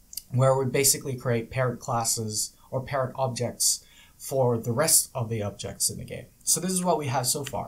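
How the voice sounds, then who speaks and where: Here a man speaks at a moderate pace, with a medium pitch. His voice is somewhat breathy, with ordinary pitch variation. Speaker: game development tutorial creator. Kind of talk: tutorial.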